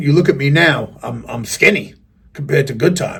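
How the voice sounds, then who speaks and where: Speaking at a moderate pace, a man with a fairly high pitch sounds somewhat breathy, his intonation lively. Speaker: rapper and video reviewer. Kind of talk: casual rant to camera. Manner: animated.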